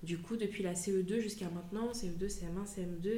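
Her intonation stays fairly even as a woman talks. Audible room echo and noticeable background noise are present. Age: 30s. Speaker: mother of a child with dyspraxia. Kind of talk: testimony. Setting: at the guest's home. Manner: halting.

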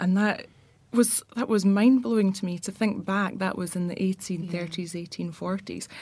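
Somewhat breathy, a woman with a Glaswegian accent talks at a moderate pace and medium pitch with ordinary pitch variation. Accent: Glaswegian Scottish. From Glasgow, Scotland. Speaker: architect. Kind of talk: casual chat.

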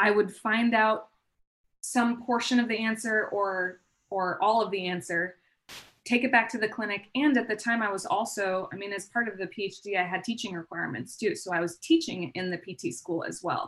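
A woman with an American accent talks at a moderate pace in an ordinary speaking voice. Her pitch is medium, with ordinary pitch variation. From Southern California (Palm Springs). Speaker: physical therapist and spine researcher. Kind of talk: interview.

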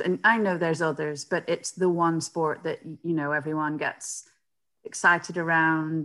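Her pitch is low and her tone bright and sharp, with a British accent. The woman speaks fairly slowly with fairly even intonation.

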